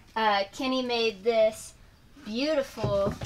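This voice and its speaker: Noticeable background noise behind a woman, her pitch varying in an ordinary way. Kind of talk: casual vlog chat. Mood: cheerful, relaxed. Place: home room.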